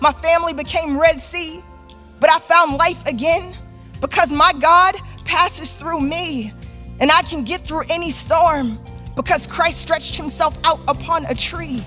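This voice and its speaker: A raised, projected voice carries at a fairly slow pace. Music plays in the background. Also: woman, extremely high pitch for a woman, ordinary pitch variation. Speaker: spoken word artist. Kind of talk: spoken word poetry performance. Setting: live theater stage.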